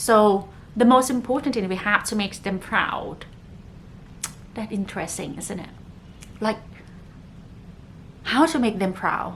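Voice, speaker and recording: A woman's fairly high voice with a non-native accent, fairly slow with long, frequent pauses, big swings in loudness and ordinary pitch variation. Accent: non-native English speaker. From northern Thailand, Chiang Mai. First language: Thai. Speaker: podcast host. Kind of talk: casual podcast monologue.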